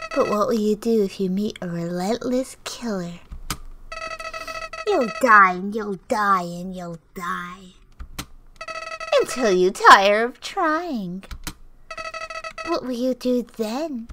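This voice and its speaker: Using a put-on character voice at medium pitch, a woman speaks at a fairly slow pace with long, frequent pauses. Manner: menacing, mocking.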